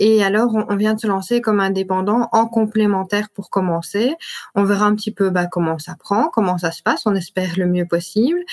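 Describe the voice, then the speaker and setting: Her pitch fairly high, a woman talks at a moderate pace in a normal speaking voice with ordinary pitch variation. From Belgium, Liège area. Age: 20s. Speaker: entrepreneur. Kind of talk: interview.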